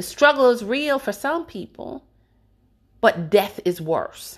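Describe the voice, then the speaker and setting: A woman with an American accent, fairly high in pitch, talking at a very slow pace with very wide pitch swings, on a very clean recording with a silent background. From Jamaica, then the Bronx, New York. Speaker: podcast host. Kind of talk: personal monologue. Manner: emphatic.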